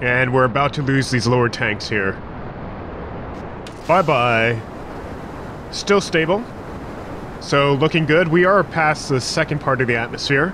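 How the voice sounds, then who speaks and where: Pausing long and often, a man with a fairly high voice speaks fairly slowly at a very even loudness and with ordinary pitch variation, over noticeable background noise. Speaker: gaming video host. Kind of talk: gameplay commentary. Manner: casual.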